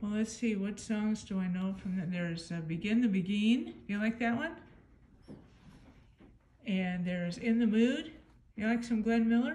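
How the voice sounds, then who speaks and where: With a gentle, dark, mellow tone, a woman speaks in a somewhat breathy voice, leaving long, frequent pauses. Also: ordinary pitch variation, moderate pace. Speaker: paranormal investigator. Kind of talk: spirit communication session. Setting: indoors, large building. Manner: gentle, inquisitive. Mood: gentle, encouraging, hushed. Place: hall. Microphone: phone near.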